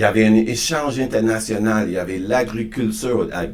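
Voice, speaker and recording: Audible room echo surrounds a man speaking at a fairly slow pace, his medium pitch showing ordinary variation. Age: 60s. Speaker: podcast guest on diversity and inclusion. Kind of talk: interview conversation. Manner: halting, frequent repetitions and restarts.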